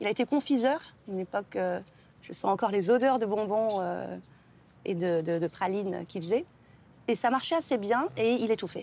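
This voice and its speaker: Speaking at a moderate pace with long, frequent pauses, a woman of medium pitch uses lively intonation and a dark, mellow tone. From Algeria then France (moved at age six). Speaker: writer. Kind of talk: TV interview. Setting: TV studio set. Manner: hesitant, with many repetitions and fillers.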